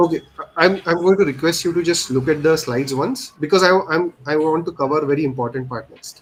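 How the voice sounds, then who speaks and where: A man speaks quite quickly at a fairly high pitch with ordinary pitch variation. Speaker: instructor. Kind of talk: tutorial. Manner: fast.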